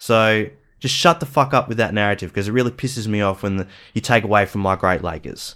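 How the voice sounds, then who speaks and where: A man with an Australian accent talks at a very fast pace, his bright, sharp tone and lively intonation captured on a very clean recording with a silent background. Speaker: podcast co-host. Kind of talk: rant; casual chat.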